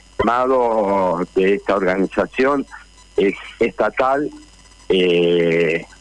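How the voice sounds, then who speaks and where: Through noticeable background noise, a man with a very deep, low pitch and lively intonation comes across dry and close, with no echo. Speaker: actor and union leader. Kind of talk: radio interview.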